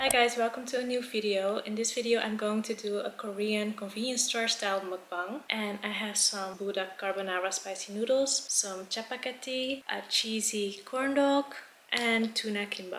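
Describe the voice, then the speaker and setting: A woman with a Dutch accent speaks with hardly any pauses, at a fairly high pitch with fairly even intonation. Noticeable background noise runs underneath. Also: moderate pace. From Netherlands. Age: 20s. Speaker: YouTuber. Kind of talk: casual chat.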